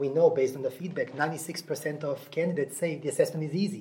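A man with a Russian accent is speaking. His voice is fairly high-pitched with ordinary pitch variation. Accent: Russian-tinged. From Nashville, US South. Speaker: HR technology director. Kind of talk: interview. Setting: live event venue.

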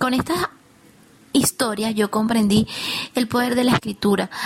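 Fairly high-pitched woman at a moderate pace, with fairly even intonation and noticeable background noise. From Venezuela. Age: young. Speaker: accountant and writer. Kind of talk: interview.

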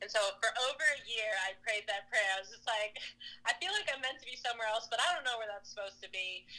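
Here a woman talks at a very fast pace in a fairly high pitch, with ordinary pitch variation. Her loudness swings widely, and noticeable background noise is present. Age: 30s. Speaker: CrossFit athlete and coach. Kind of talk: interview.

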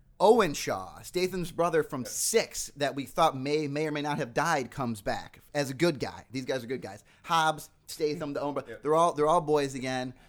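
In an unremarkable speaking voice, the speaker goes at a moderate pace with ordinary pitch variation and hardly any pauses, on a very clean recording with a silent background. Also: man, fairly high pitch for a man. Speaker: magazine journalist. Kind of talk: casual chat. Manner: joking.

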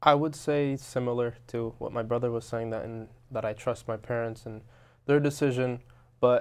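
A man with a New Jersey accent at a medium pitch, flat and monotone at a moderate pace, against a quiet background. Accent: New Jersey American. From Robbinsville, New Jersey, US. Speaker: restaurant owner. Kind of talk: interview.

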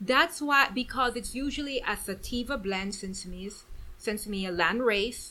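In a Guyanese accent, a woman speaks at a fairly slow pace. Her tone is bright and sharp. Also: fairly high pitch for a woman, ordinary pitch variation. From Guyana, then Houston, Texas. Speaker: guest, business owner. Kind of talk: casual chat, interview. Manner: animated, laughing.

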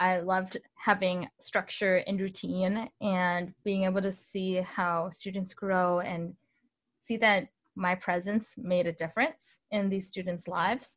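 An American accent comes through over a quiet background, the delivery fairly even in intonation and somewhat breathy. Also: woman. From Northern Illinois. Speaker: musician. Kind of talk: interview.

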